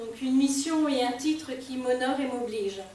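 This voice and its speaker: A woman with a Réunion accent speaks in a high voice with fairly even intonation, over noticeable background noise and audible room echo. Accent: Réunion Creole. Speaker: poet and association president. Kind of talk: event welcome speech. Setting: library event with live audience.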